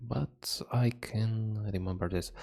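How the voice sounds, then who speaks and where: In a very clean recording with a silent background, a man with a non-native accent speaks very slowly at a medium pitch. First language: not English. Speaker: hobby gardener reading an article. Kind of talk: reading aloud with comments. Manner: halting.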